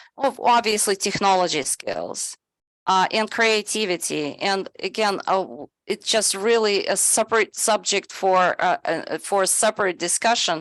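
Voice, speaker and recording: Speaking at a fairly slow pace, a woman with a medium pitch and ordinary pitch variation is heard against a quiet background, the sound dry and close with no echo. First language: not English (English is her third language). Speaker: presenter on AI in education. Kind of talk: webinar presentation. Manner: halting, many fillers.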